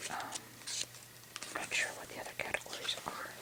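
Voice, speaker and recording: Whispering from a woman, noticeable background noise behind it. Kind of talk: casual talk to camera. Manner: whispered, soft-spoken.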